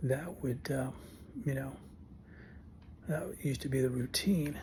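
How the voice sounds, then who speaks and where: A man whispers at a fairly slow pace, somewhat breathy. Room echo can be heard around him. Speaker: vlogger with Parkinson's. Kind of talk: casual vlog monologue. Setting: home, early morning. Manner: whispering; halting.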